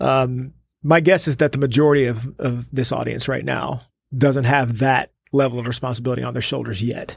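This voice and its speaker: A man talks at a fairly quick clip in a medium-pitched, somewhat breathy voice. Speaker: podcast host. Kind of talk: interview conversation. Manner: warm, enthusiastic.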